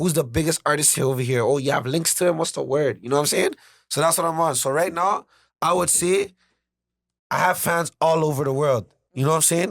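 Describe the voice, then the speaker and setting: In a very clean recording with a silent background, a man with an unremarkable speaking voice talks at a fairly quick pace, fairly high in pitch, with ordinary pitch variation. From Toronto, Canada. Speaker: rapper. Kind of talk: casual podcast interview.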